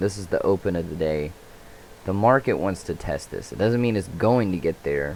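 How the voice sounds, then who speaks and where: A man mumbles quietly in a very deep, low pitch. His pace is moderate and his pitch variation ordinary. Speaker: day trader. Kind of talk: trade commentary. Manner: mumbling.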